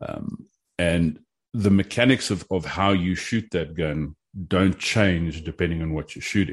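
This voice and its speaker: With a South African accent, a man with a very deep, low pitch speaks at a fairly slow pace with ordinary pitch variation against a quiet background. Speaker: competition shooter and gun commentator. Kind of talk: casual interview chat.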